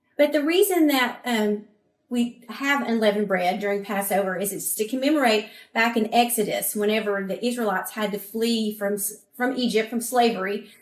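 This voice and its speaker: A woman speaks with a Southern US accent at a fairly high pitch. Her pace is moderate and her pitch variation ordinary. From US South. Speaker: cooking presenter. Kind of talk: cooking demonstration.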